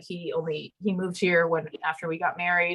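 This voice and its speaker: A woman speaks at a fairly quick pace. Her medium-pitched voice has a bright, sharp tone. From Miami, Cuban-American household. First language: Spanish. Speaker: theology professor. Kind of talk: panel conversation.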